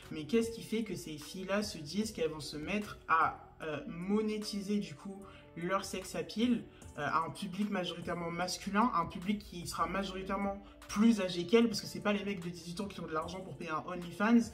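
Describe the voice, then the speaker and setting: Over music in the background, a woman with a medium pitch speaks at a moderate pace, her pitch varying in an ordinary way and her loudness swinging widely. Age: 20s. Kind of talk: casual talk to camera.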